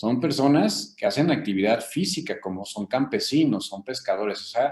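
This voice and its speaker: A man's lively intonation carries his words along at a moderate pace. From Mexico, Querétaro. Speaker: physician, rheumatologist. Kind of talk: interview. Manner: halting, many fillers.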